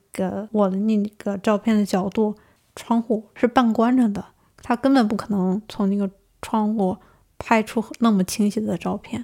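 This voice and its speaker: A woman's fairly high, dark and mellow voice at a moderate pace, monotone and flat, in a very clean recording with a silent background. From Northeast China. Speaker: master's student. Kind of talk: interview storytelling.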